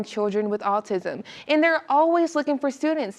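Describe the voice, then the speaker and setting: Amid noticeable background noise, a woman talks at a fairly quick pace with lively intonation. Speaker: student news anchor and reporter. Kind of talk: anchor intro and headline read.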